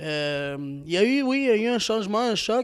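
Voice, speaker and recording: In a very clean recording over a silent background, a man speaks at a moderate pace. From Quebec, Montreal (Parc-Extension). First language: Spanish (speaking French). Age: young. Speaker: community volunteer. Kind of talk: interview. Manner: hesitant, many fillers.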